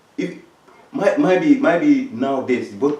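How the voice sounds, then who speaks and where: Through audible room echo and noticeable background noise, a man speaks with lively intonation. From Africa. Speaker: talk show host. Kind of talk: discussion. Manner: halting, many repetitions.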